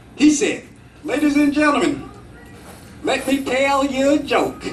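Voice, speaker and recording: Music plays behind a man speaking at a fairly slow pace. His pitch is extremely high and his tone animated. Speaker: Toastmasters club speaker. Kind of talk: tall tale speech told to an audience. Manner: animated, storytelling, humorous.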